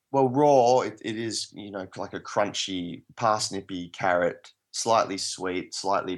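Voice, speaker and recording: A man with an Australian accent speaks against a quiet background. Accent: Australian drawl. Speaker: permaculturist and plant expert. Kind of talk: interview. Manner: hesitant, many fillers.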